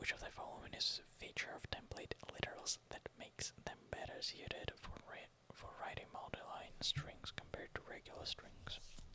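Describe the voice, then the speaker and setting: A man whispering at a moderate pace amid noticeable background noise. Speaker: university student, ASMR creator. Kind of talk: casual talk to camera, study-along narration. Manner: quiet, soft-spoken, whispery.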